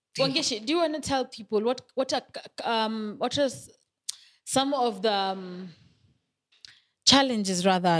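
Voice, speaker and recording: With an East African accent, a woman speaks at a fairly slow pace and with lively intonation, in a dry, close sound with no echo. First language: Swahili. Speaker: podcast host. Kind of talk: casual chat.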